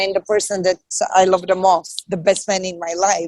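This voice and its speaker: A woman with a Bulgarian accent speaks at a moderate pace, the sound dry and close with no echo. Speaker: comedian and actress. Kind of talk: podcast interview.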